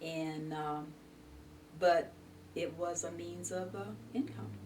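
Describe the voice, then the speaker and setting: Over noticeable background noise, a woman with an American accent speaks at a very slow pace. Her pitch is very deep and low, and her intonation is lively. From Mansfield, Ohio. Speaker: retired rural mail carrier. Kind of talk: interview answer.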